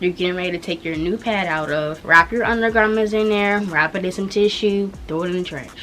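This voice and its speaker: Speaking at a fairly quick pace with an American accent, a woman shows ordinary pitch variation over noticeable background noise. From Washington DC area. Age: young. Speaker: YouTuber. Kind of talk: casual talk to camera.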